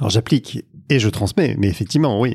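A man with a normal speaking voice talks at a fairly quick pace with ordinary pitch variation. The sound is dry and close, with no echo. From northern France, Lille. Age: 50s. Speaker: sales coach. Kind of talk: podcast interview.

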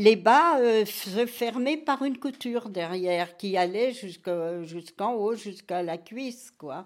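A woman speaks slowly. Her pitch sits in the medium range. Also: ordinary pitch variation.

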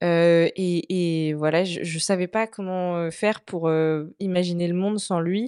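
Speaking at a very slow pace, a woman uses a fairly low pitch and a dark, mellow tone. Her intonation is fairly even, and the background is quiet. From France, Vendée. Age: 20s. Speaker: communication student sharing mental health story. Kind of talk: personal testimony in interview. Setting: in person at host's home.

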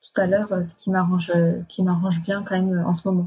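A somewhat breathy, dark, mellow tone with monotone, flat intonation. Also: woman. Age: 20s. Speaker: nurse. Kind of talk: personal testimony. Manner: hesitant.

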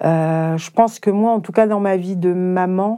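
A dark, mellow tone at a fairly slow pace, with fairly even intonation. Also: woman. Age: 50s. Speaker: nurse and caregiving mother. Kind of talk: testimony.

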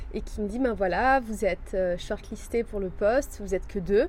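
Pitched fairly high, a woman with an unremarkable speaking voice talks at a moderate pace, her pitch varying in an ordinary way. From Marseille, raised abroad. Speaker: life coach. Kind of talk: interview.

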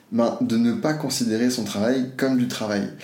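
Moderate-paced speech from a man, with audible room echo and noticeable background noise. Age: 20s. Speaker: future-of-work expert and entrepreneur. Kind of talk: casual interview.

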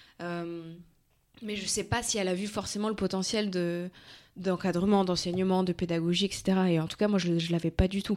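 A woman's mid-range voice stays flat and monotone. Her speed is moderate. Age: 30s. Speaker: fitness coach and entrepreneur. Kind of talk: interview.

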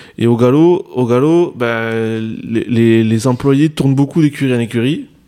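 In a southwestern French accent, this voice has a dark, mellow tone and ordinary pitch variation. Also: man. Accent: southwest French. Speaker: horse racing journalist. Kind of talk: radio panel discussion.

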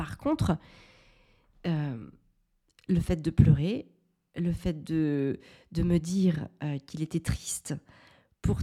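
In a very clean recording with a silent background, a woman speaks very slowly in a very deep, low voice, somewhat breathy with a dark, mellow tone and ordinary pitch variation. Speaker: parenting podcaster, mother. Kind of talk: solo podcast monologue.

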